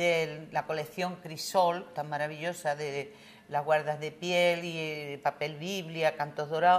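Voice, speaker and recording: A woman talks very slowly at a very deep, low pitch with monotone, flat intonation. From Andalusia, Spain (Aracena, Huelva). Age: 70s. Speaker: writer and literature professor. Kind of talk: interview.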